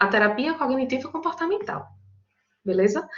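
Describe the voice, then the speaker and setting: A woman speaks with a strong Paraíba accent. Her intonation is lively. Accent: strong Paraíba northeastern Brazilian. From Brazil, Paraíba (João Pessoa). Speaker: psychologist and teacher leading study group. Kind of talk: online lecture to study group. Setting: online video meeting. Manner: conversational, informal.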